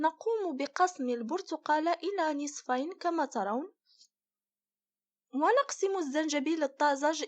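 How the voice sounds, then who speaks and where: Against a quiet background, a woman speaks fairly slowly at an extremely high pitch, the sound dry and close with no echo. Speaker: recipe channel host. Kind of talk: tutorial.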